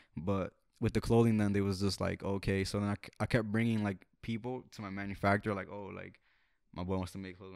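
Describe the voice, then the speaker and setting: A man with a fairly low pitch talks at a very fast pace in a monotone, flat intonation, with a dry sound with no echo and a quiet background. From North Jersey, US. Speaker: music artist and clothing entrepreneur; podcast guest. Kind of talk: casual chat. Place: home room. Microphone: handheld.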